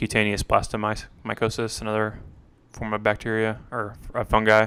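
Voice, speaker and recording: On a very clean recording with a silent background, a man speaks at a fairly low pitch in a bright, sharp tone. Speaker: student. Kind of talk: study review talk. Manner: monotone; hesitant, many fillers.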